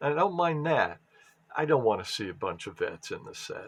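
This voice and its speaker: A man mumbling at a fairly slow pace. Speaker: sports card collector. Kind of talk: casual pack opening commentary. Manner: halting.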